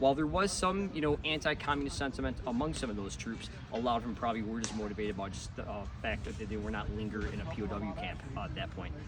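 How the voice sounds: Over clear background noise, a man with a fairly low pitch talks fast, with few pauses and fairly even intonation.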